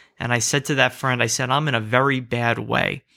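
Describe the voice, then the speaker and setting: A man speaks with a New Jersey accent at a medium pitch. His tone is bright and sharp, on a very clean recording with a silent background. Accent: American, New Jersey. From US, southern New Jersey. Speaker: rabbi. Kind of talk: interview conversation.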